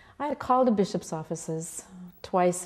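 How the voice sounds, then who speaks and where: Her voice is a plain, everyday voice at a fairly low pitch for a woman. She keeps a moderate pace with ordinary pitch variation. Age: 60s. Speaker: pastor. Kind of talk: oral history interview.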